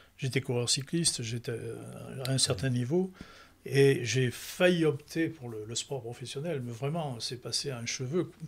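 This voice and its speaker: A man's somewhat breathy voice shows big swings in loudness. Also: medium pitch for a man, ordinary pitch variation, fairly slow pace. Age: 80s+. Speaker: retired entertainment professional and author. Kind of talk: interview. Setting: book fair. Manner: halting, many repetitions and restarts.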